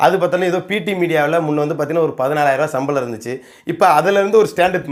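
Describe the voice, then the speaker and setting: Lively intonation and an animated tone mark this man's fairly high-pitched speech. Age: 30s. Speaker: community activist. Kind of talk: rebuttal monologue.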